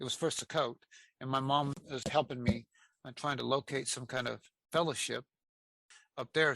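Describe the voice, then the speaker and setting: The tone is bright and sharp, in a dry, close sound with no echo. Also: man, very clean recording, silent background. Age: 60s. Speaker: interviewee sharing faith testimony. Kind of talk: testimony. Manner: halting, with frequent repetitions.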